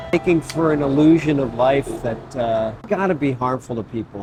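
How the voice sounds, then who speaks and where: Noticeable background noise is present as a man talks. His fairly high voice keeps a moderate pace and ordinary pitch variation. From New Jersey. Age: 60s. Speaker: musician. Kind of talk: documentary interview. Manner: reflective.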